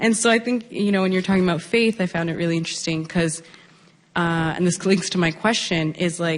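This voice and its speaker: A woman at a fairly low pitch, fairly quick pace and fairly even intonation. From Peel Region, Ontario, Canada. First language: Punjabi. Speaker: audience member asking a question. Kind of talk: audience Q&A question.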